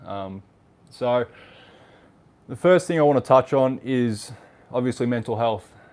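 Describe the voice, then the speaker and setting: With an Australian accent, a man talks at a moderate pace in fairly even intonation. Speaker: vlogger. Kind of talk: livestream chat. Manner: casual.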